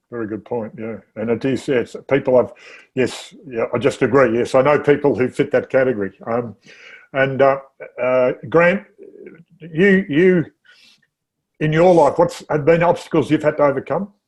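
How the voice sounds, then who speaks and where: Speaking in an Australian accent at a moderate pace, a man uses a fairly high pitch with ordinary pitch variation and long, frequent pauses. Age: 60s. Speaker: interview show host. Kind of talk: casual chat.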